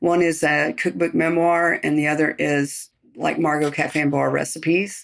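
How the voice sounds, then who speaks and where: A woman's ordinary speaking voice, fairly low and fairly slow, on a very clean recording with a silent background. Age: 60s. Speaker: chef. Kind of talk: interview. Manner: casual.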